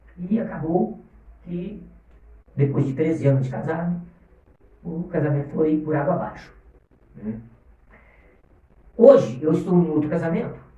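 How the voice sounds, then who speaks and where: Audible room echo around a man's fairly high, dark, mellow voice, with lively intonation at a fairly slow pace. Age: 60s. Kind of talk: motivational livestream talk. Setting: livestream.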